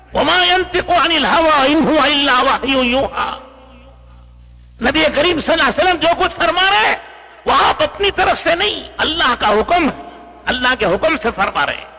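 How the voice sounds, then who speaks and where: The voice is raised and projected over noticeable background noise. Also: man, extremely high pitch for a man. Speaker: Islamic preacher (maulana), Tableeghi Jamaat lecturer. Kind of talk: Islamic sermon / religious lecture addressing an audience. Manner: earnest, preaching.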